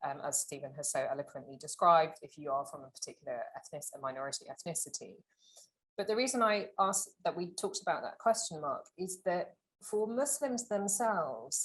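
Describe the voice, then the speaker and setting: A woman talks at a fairly quick pace in a somewhat breathy voice of medium pitch. Her pitch swings very widely, and her loudness rises and falls sharply. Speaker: author and advertising professional. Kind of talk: panel talk. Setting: lecture event with audience. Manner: fast.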